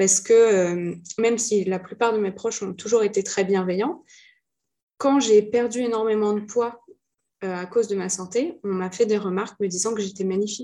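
This woman speaks at a moderate pace and medium pitch, her tone dark and mellow, with fairly even intonation. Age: 20s. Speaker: entrepreneur and mentor with chronic illness. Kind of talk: interview testimony.

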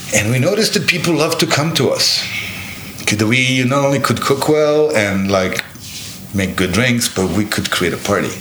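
Noticeable background noise sits behind a man with a Serbian accent whose pitch swings very widely. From Serbia (Belgrade). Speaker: bar owner. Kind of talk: casual chat. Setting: penthouse apartment in Sydney.

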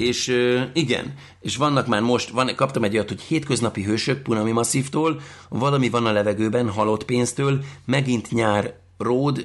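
A man speaks at a medium pitch and a moderate pace. His pitch rises and falls in an ordinary way. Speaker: podcast host. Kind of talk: casual chat. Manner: animated.

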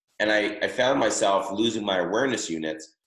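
Audible room echo surrounds a man's fairly low voice. He talks at a moderate pace. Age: 50s. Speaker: chiropractic practice coach. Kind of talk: webinar presentation. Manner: filler-heavy, frequent um and uh.

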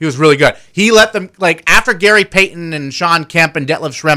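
The tone is bright and sharp, with an American accent and ordinary pitch variation. The recording is very clean, with a silent background. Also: man. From Seattle, US. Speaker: sports radio host. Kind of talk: casual sports talk radio. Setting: studio.

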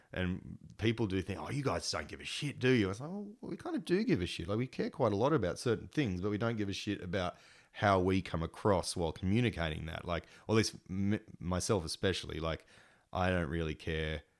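In a very clean recording with a silent background, a man with an Australian accent speaks at a fairly low pitch and a fairly quick pace, with lively intonation. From Sydney, Sutherland Shire. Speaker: punk guitarist and radio presenter. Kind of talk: casual chat.

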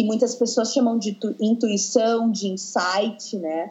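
A woman is speaking. Her pace is fairly slow. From southern Brazil, Porto Alegre. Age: 20s. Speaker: dance teacher. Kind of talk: casual interview.

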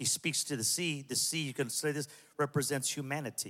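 Bright and sharp in tone, a man with an American accent talks in an animated way at a fairly quick pace and fairly high pitch. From Southern California (Pico Rivera). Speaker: pastor. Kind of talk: sermon.

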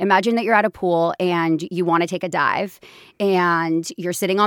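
Over a very clean recording with a silent background, a normal speaking voice moves at a moderate pace. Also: woman. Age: 20s. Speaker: podcast host and business founder. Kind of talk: casual chat.

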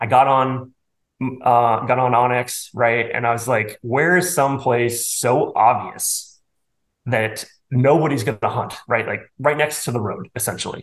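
With a plain, everyday voice, a man talks at a fairly slow pace in a medium pitch and fairly even intonation. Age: 40s. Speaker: bowhunter and financial advisor. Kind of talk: casual interview chat.

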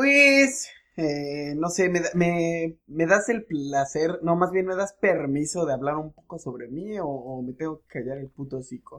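The speech runs at a fairly slow pace with hardly any pauses, lively intonation, and big swings in loudness. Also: man, high pitch for a man. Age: 20s. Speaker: podcast co-host. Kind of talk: casual chat.

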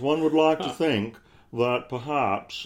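At a moderate pace, a man drawls through a put-on character voice. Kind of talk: formal.

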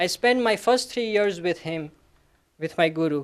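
Using an Indian accent, a man speaks at a moderate pace. His high-pitched voice carries lively intonation. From Gujarat, India. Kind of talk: personal talk at an academic event. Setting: stage with audience.

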